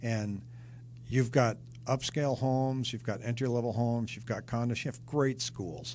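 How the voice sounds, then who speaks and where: A man with an American accent talks at a moderate pace and a medium pitch, somewhat breathy. His intonation stays fairly even while his loudness swings widely. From Seattle, US Pacific Northwest. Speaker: real estate agent. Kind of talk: interview.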